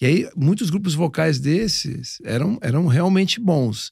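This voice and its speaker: In a quiet background with a dry sound and no echo, a man speaks fairly slowly in a fairly high voice with lively intonation. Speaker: podcast co-host, music producer; podcast co-host. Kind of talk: casual chat. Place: studio. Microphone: studio mic.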